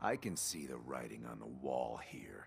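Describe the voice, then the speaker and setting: A man's put-on character voice, very deep and growling, with fairly even intonation at a moderate pace. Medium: video game. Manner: smooth, slick.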